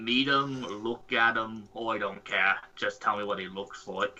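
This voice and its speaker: A put-on character voice at a moderate pace. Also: man, medium pitch for a man. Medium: actual play. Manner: brash, bossy, ungrammatical.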